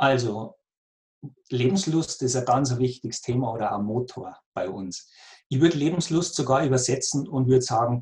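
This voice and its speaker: A somewhat breathy man with a Bavarian accent speaks at a fairly slow pace, with a medium pitch and ordinary pitch variation. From Lower Bavaria, near Passau. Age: 40s. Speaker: cancer patient coach. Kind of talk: interview.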